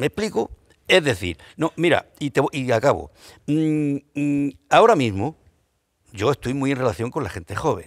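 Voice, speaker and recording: In a very clean, dry and close recording with a silent background and no echo, a man talks in an animated tone at a moderate pace and fairly high pitch, with very wide pitch swings and long, frequent pauses. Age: 60s. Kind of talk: panel discussion.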